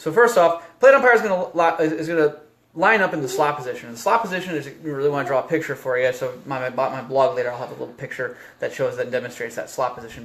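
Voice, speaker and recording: Here a man speaks at a very fast pace, his pitch fairly high. Noticeable background noise runs behind him. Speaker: baseball umpire instructor. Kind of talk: tutorial. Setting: Facebook live video. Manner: casual.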